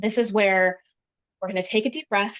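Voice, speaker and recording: A woman talks at a fairly quick pace and medium pitch, her intonation fairly even. The sound is dry and close with no echo. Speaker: workshop presenter, wellbeing founder. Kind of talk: interactive online workshop. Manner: fast.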